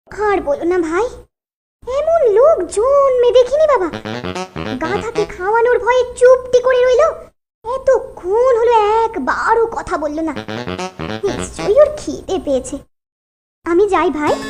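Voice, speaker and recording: In a cartoonish character voice, a woman speaks at a fairly slow pace with an extremely high pitch and very wide pitch swings, while music plays in the background. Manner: shrill, scolding.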